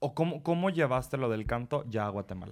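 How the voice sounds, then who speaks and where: A normal speaking voice moves with lively intonation. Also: man. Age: 20s. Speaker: podcast host. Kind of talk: casual chat.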